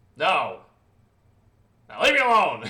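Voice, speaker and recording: A man uses a put-on character voice. It is gruff and pitched high. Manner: curt, dismissive.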